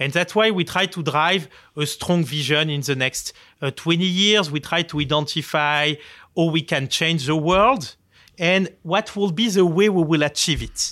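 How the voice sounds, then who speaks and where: With a French accent, a man talks at a moderate pace in a high, bright, sharp voice with ordinary pitch variation, on a very clean recording with a silent background. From France, Marseille. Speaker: tech company founder and CEO. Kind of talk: interview. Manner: halting, many fillers.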